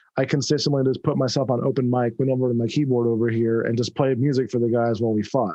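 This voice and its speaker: A man speaks in a dark, mellow tone. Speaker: podcast host and game master. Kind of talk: casual podcast chat. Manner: mumbling.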